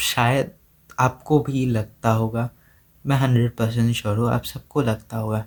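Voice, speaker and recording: In an Assamese accent, a man speaks with monotone, flat intonation. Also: medium pitch for a man. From India, Assam (Guwahati). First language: Assamese (speaking Hindi). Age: 20s. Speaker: content creator. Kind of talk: personal vlog monologue. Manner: hesitant, with fillers.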